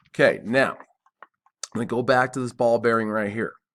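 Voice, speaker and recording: A man's medium-pitched, unremarkable speaking voice at a moderate tempo. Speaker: CAD instructor. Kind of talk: tutorial.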